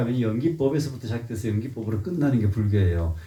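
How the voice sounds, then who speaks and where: This man's voice has a dark, mellow tone and is somewhat breathy. His pitch swings very widely, and audible room echo surrounds it. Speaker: Buddhist teacher. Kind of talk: dharma lecture. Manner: frequent filler sounds.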